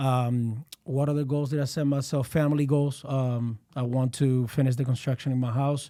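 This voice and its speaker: The speaker has a Spanish accent and a dark, mellow tone, talking at a moderate pace in a monotone, flat intonation. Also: man. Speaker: realtor. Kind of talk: casual chat. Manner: halting.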